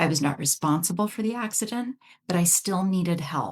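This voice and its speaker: A woman speaks in a fairly low, somewhat breathy voice. She has a slight Canadian accent and lively intonation. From Canada. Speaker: psychologist, betrayal trauma expert. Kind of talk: podcast interview.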